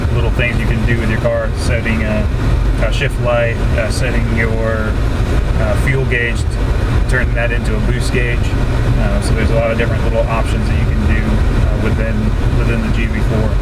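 A man keeps a moderate pace while loud background noise fills the recording. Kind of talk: casual car review chat. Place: car. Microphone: camera far.

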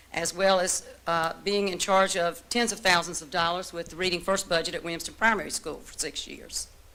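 A woman with an American accent speaks very fast at a medium pitch, her intonation fairly even. Her tone is bright and sharp. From eastern North Carolina, Martin County. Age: 60s. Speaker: retired teacher, board seat applicant. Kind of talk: public address at board meeting. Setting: board of education meeting room. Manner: earnest, slightly halting with fillers.

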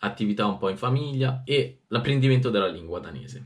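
Here a man speaks at a fairly quick pace with lively intonation. His voice is somewhat breathy. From Italy. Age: 20s. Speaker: youtuber. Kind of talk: casual vlog reading diary aloud. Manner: animated. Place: home room.

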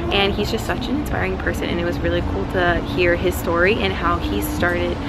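Music plays in the background as a woman talks at a fairly quick pace. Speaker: vlogger. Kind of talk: casual vlog chat. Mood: enthusiastic, grateful. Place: street. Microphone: phone near.

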